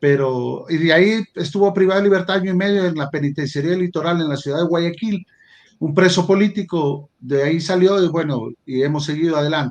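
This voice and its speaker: Speech comes at a fairly quick clip. The pitch shifts only as much as usual. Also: man, high pitch for a man. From Ecuador, El Oro and Loja. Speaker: judge and law professor. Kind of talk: interview. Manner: halting, repeats words.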